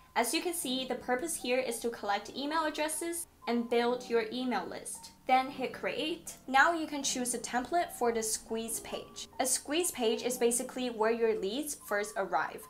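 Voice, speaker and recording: A woman's high voice with a non-native accent, at a moderate pace with hardly any pauses and ordinary pitch variation, over music in the background. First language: not English. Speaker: online business tutorial creator. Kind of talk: tutorial. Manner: casual, conversational.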